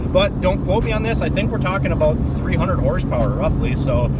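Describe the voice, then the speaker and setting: Over noticeable background noise and audible room echo, a man speaks in an enthusiastic tone. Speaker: car YouTuber. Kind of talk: casual vlog commentary. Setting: outdoors at a bridge and driving in a car. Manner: casual, enthusiastic.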